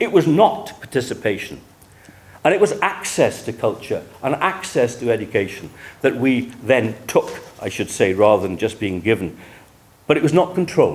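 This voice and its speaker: A man speaks with a South Wales accent at medium pitch. His moderate pace carries very wide pitch swings. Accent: South Wales valleys. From Wales, Rhondda Valley. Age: 70s. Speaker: historian. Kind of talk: lecture. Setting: conference room with audience. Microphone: speaking without a microphone.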